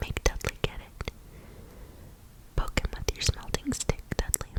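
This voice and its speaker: Over noticeable background noise, a woman whispers at a fairly slow pace. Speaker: ASMR content creator. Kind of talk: whispered book reading for ASMR. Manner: whispered, up close.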